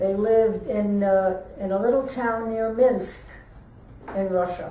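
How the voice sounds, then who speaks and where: A woman speaks at a fairly high pitch. There is noticeable background noise and audible room echo. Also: fairly even intonation, fairly slow pace. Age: 90s. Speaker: interviewee. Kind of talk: oral history interview. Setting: museum.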